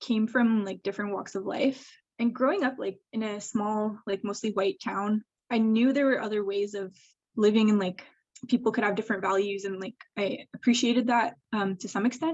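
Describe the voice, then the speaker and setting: A woman speaks with a Canadian accent at a fairly high pitch. Her voice is somewhat breathy, with fairly even intonation. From rural Eastern Ontario, Canada. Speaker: public health evaluator. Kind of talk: casual interview. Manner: frequent fillers (like, um).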